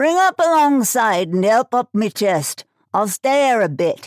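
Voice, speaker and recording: Putting on a character voice, a woman speaks at a fairly high pitch and a moderate pace, her pitch swinging very widely while her loudness stays very even. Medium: read story. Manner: rough, coarse, commanding.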